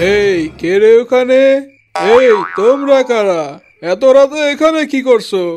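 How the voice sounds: A man puts on a cartoonish character voice, pitched extremely high for a man and delivered at a fairly slow pace.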